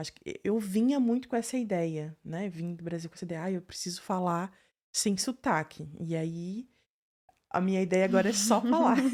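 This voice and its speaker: A woman's normal speaking voice, medium in pitch, with ordinary pitch variation and a moderate pace, on a very clean recording with a silent background. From southern Brazil. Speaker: podcast host, psychologist. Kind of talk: podcast interview.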